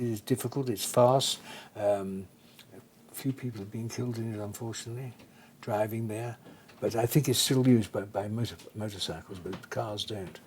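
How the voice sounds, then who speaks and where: A man's fairly even delivery with an English accent. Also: medium pitch for a man, moderate pace. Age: 80s+. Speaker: retired racing driver. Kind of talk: interview answer.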